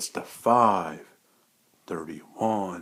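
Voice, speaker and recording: A put-on character voice from a man, very deep and low in pitch. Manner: drawn-out, stretched numbers.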